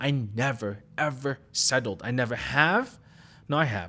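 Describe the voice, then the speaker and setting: This man's medium-pitched voice has vocal fry, a bright, sharp tone and lively intonation. The recording is very clean, with a silent background. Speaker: tech worker and content creator. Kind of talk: personal vlog monologue. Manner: casual, conversational.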